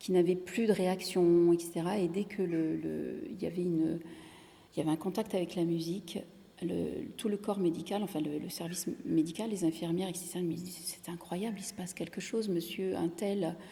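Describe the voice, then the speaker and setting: A woman speaks at a moderate pace with a fairly low pitch and a dark, mellow tone. Her voice is somewhat breathy, and her intonation stays fairly even. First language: Italian (speaking French). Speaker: singer-songwriter. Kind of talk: interview. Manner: halting, many repetitions.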